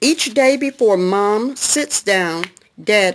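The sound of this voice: The speaker uses an unforced reading voice. The intonation is lively.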